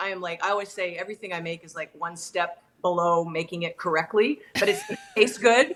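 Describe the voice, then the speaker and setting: A woman with a Canadian accent speaks in a plain, everyday voice at medium pitch with ordinary pitch variation. She goes at a fairly quick pace with hardly any pauses, her loudness swinging widely. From Toronto, Canada. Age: 50s. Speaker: singer-songwriter. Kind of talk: interview answer.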